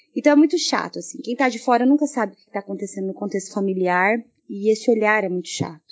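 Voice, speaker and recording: A very fast, lively-intoned woman's voice, fairly high in pitch. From Brazil. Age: 30s. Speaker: massage therapist and mother. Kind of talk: recorded voice message testimony.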